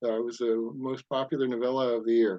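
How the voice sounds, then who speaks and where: This is a man speaking. His pace is fairly quick. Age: 60s. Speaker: science fiction author and amateur astronomer. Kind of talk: casual interview chat. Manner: hesitant, many fillers.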